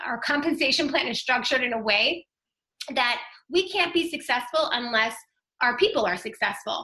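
A raised, projected voice with a bright, sharp tone, lively intonation and a fairly quick pace. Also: woman. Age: 30s. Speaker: direct-sales consultant. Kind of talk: sales pitch.

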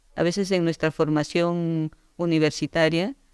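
A woman with an Andean Peruvian accent speaks at a fairly slow pace in a very deep, low pitch and monotone, flat intonation. The sound is dry and close with no echo, and the recording is very clean with a silent background. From Peru, Andes (Yungay, Ancash). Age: 60s. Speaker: agronomist. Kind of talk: interview. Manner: halting, with repetitions.

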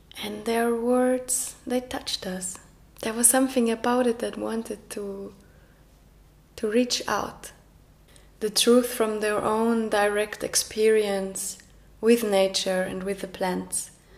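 Speaking very slowly with a Norwegian accent, a woman keeps a fairly high, monotone, flat delivery while noticeable background noise sits behind her. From Norway. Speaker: documentary narrator. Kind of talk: documentary narration.

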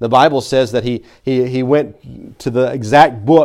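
This man has an American accent and a fairly high pitch. His intonation stays fairly even. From Tennessee. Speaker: pastor. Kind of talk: sermon. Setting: church. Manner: halting.

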